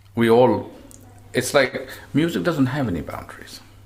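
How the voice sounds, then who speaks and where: Over noticeable background noise, a man speaks at a fairly slow pace at medium pitch, with ordinary pitch variation. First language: not English. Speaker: tabla player. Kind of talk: interview.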